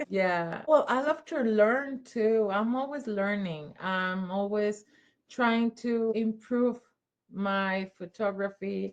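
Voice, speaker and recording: Very slowly and with ordinary pitch variation, a woman in a Spanish accent speaks at a fairly high pitch against a quiet background. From Mexico. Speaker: children's photographer. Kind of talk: interview. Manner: halting.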